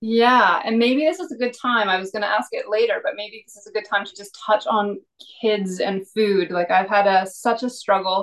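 With an ordinary speaking voice, a woman talks at a moderate pace, her fairly high pitch showing ordinary variation. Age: 40s. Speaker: podcast host. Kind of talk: reading a bio aloud; interview.

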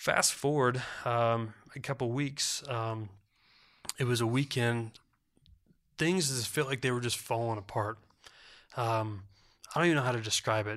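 Moderate pace from a man, with fairly even intonation and long, frequent pauses. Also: medium pitch for a man. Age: 30s. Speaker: associate pastor. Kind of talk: testimony. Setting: studio.

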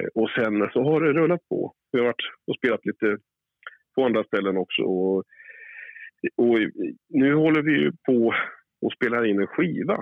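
A man's medium-pitched voice with lively intonation, a moderate pace, very even loudness and long, frequent pauses. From Västerås, central Sweden. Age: 40s. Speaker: blues and soul singer, bandleader. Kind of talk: interview. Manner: halting.

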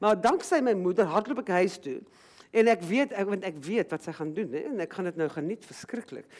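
The delivery is very fast and animated. The intonation rises and falls in a lively way. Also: woman, medium pitch for a woman. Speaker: writer and journalist. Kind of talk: book talk on stage, conversational. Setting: stage with audience, library. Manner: animated, fast talker.

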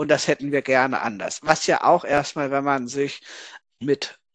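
Speaking fairly slowly, a man with an ordinary speaking voice and fairly high pitch is heard dry and close with no echo over a quiet background. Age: 30s. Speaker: author and gender researcher. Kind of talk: interview conversation.

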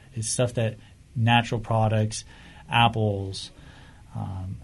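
In a flat monotone, a somewhat breathy man with an American accent speaks in a fairly low voice with long, frequent pauses. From Whittier, Southern California. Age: 20s. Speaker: tea business owner, navy veteran. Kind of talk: casual interview.

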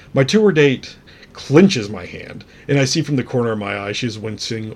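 Somewhat breathy and animated in tone, a man speaks at a fairly quick pace with a medium pitch and ordinary pitch variation. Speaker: podcast host. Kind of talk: casual storytelling monologue. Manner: animated, laughs while telling story; humorous, self-deprecating.

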